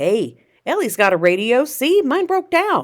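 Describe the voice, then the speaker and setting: A put-on character voice, high in pitch, raised and projected, with very wide pitch swings. The pace is moderate, and it is a very clean recording with a silent background. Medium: read story. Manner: bright monotone; grinning, overfamiliar.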